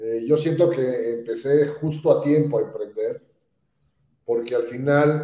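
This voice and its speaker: A man with a fairly high pitch and a dark, mellow tone speaks with ordinary pitch variation and long, frequent pauses. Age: 60s. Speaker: entrepreneur and speakers bureau founder. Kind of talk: podcast interview. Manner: hesitant fillers.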